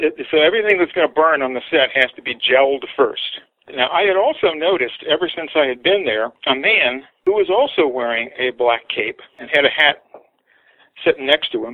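In an American accent, a man with an ordinary speaking voice talks at a fairly high pitch with lively intonation. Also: moderate pace. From United States. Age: 60s. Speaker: artist. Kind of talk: interview storytelling.

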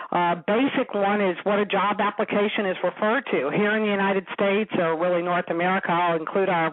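A woman's medium-pitched voice at a moderate pace. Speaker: company founder and author. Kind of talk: radio interview.

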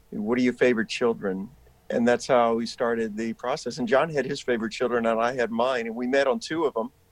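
An ordinary speaking voice from a man with an American accent, medium pitch, ordinary pitch variation and a fairly quick pace. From US South, rural South Carolina. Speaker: actor. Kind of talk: interview conversation.

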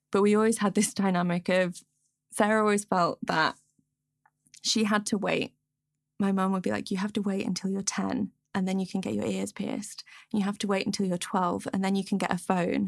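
A woman with a Derbyshire accent talks at a fairly quick pace in a monotone, flat intonation at medium pitch, on a very clean recording with a silent background. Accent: northern English (Derbyshire). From England, Peak District (Derbyshire). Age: 20s. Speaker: toy maker and podcaster. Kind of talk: casual interview. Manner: casual, filler-heavy ('like', 'um').

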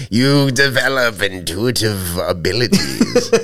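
The man's pitch is medium. He is doing a put-on character voice. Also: fairly slow pace. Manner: mystical, solemn.

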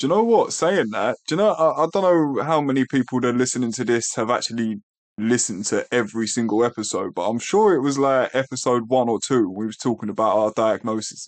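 Speaking at a very fast pace with hardly any pauses, a man with an English accent uses lively intonation at a medium pitch against a quiet background. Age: 30s. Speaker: podcast co-host with type 1 diabetes. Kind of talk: casual chat.

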